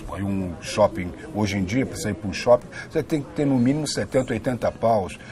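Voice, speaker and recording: Noticeable background noise is present. A man talks at a moderate pace and a medium pitch. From Brazil, Rio de Janeiro. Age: 60s. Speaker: actor and filmmaker. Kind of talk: interview. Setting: on camera at a cultural venue. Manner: continuous flowing speech.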